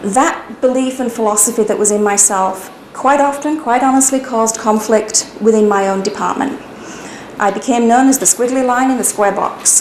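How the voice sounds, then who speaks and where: A British-accented woman speaks at a moderate pace and fairly high pitch with fairly even intonation, amid audible room echo and noticeable background noise. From UK. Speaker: HR consultant, business owner. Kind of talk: personal business narrative.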